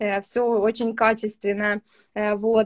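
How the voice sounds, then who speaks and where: Monotone, flat intonation at a fairly slow pace, over a quiet background. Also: woman. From Ukraine, Kryvyi Rih; Ukraine. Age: 20s. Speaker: young mother, student; interviewee. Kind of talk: interview testimony. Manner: hesitant with fillers. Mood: relaxed, positive. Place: home room. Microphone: video call.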